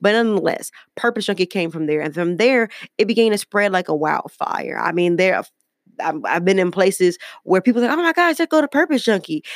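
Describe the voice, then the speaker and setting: A woman with an American accent speaks at a fairly quick pace in a medium pitch, her animated tone swinging very widely in pitch, with a dry, close sound and no echo. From Detroit, US Midwest. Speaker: podcast host. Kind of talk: motivational faith podcast monologue.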